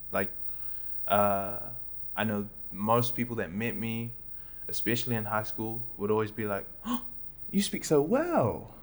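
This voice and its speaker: Speaking at a fairly slow pace with a New Zealand accent, a man pauses long and often, his pitch medium. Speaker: comedian. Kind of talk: casual chat.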